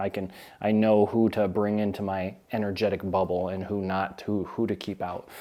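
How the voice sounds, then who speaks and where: On a very clean recording with a silent background, a man speaks at a moderate pace in a fairly low, dark, mellow voice with monotone, flat intonation. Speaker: YouTuber on narcissism. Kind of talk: casual vlog talk.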